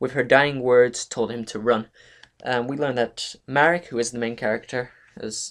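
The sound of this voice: An unforced reading voice, intonation fairly even throughout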